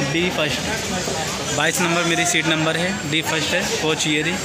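The speech comes at a fairly slow pace with loud background noise behind it. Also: man. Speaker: travel vlogger. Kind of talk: casual vlog chat. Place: station. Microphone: phone near.

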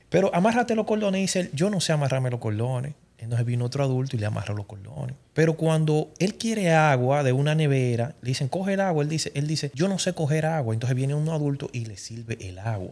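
Somewhat breathy and fairly high-pitched, a man rattles on at a very fast pace with hardly any pauses. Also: lively intonation. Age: 30s. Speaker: life advice guest; guest. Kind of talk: casual chat. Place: studio. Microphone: studio mic.

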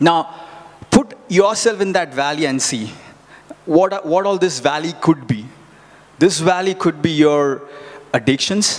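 A man's fairly high voice at a fairly slow pace, with ordinary pitch variation and long, frequent pauses. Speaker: preacher. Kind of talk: sermon with live congregation interaction, Bible reading and teaching. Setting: church with congregation. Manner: conversational, repeats words and phrases, halting, asks audience questions; earnest, encouraging. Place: church. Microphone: handheld.

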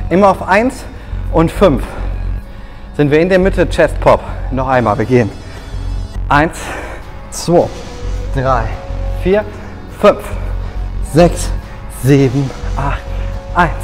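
With clear music in the background, a man speaks very slowly, leaving long, frequent pauses. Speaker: fitness instructor. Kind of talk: workout instruction with counting. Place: gym.

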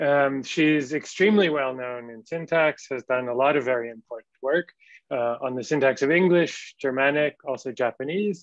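In a dry, close sound with no echo, a man with a normal speaking voice talks at a moderate pace, with ordinary pitch variation and big swings in loudness. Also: fairly high pitch for a man. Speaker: academic introducing the lecturer. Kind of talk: formal introduction. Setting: video call.

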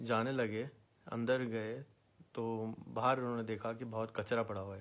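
This is a man's voice. It is pitched in the medium range. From Pakistan, Karachi; Pakistan. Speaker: social activist; social commentator. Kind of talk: video monologue. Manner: animated. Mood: earnest, somewhat critical. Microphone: phone near.

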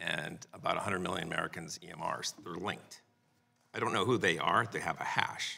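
The pace of this man's speech is moderate. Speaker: witness. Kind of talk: hearing testimony answer. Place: hall. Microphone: podium.

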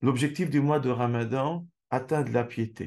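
A man speaks at a very slow pace, his pitch sitting in the medium range. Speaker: Islamic lecturer. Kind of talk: religious lecture. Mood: calm, earnest. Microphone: webcam.

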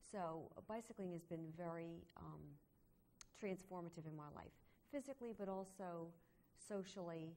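This woman has a fairly low pitch, ordinary pitch variation and a dark, mellow tone, moving at a moderate pace with long, frequent pauses. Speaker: cycling club member. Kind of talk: interview.

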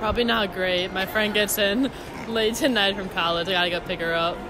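A woman at a medium pitch and fairly quick pace, fairly even intonation, clear background noise behind her

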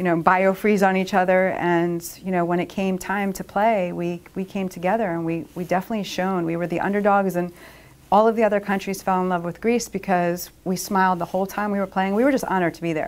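Someone with a Philadelphia accent talks at a fairly quick pace in a monotone, flat intonation. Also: woman. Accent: Philadelphia-area American English. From Upper Darby, Pennsylvania, USA. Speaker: roller derby skater and attorney. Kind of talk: interview answer. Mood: warm, proud, nostalgic. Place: meeting room.

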